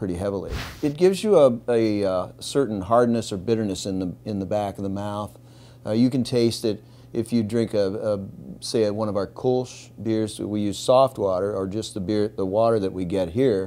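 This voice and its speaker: A man's ordinary speaking voice, fairly low-pitched, with ordinary pitch variation at a moderate pace. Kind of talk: interview answer. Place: bar.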